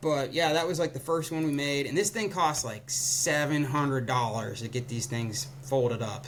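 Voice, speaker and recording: Against noticeable background noise, a man with a fairly high pitch talks with ordinary pitch variation and hardly any pauses. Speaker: ski gear startup co-founder. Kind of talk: casual interview. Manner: fast; casual, filler-heavy.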